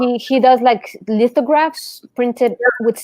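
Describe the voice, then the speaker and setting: Speaking at a fairly slow pace, a woman with a slight Mexican accent has a high pitch. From Mexico. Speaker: art teacher, channel host. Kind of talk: casual chat during online art class.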